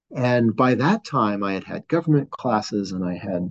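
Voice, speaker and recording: A fairly low-pitched man with an American accent, lively intonation and a fairly slow pace. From Southern California, San Gabriel Valley. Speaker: appellate judge. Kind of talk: interview.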